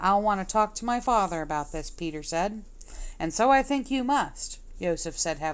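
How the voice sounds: A natural reading voice carries lively intonation from start to finish.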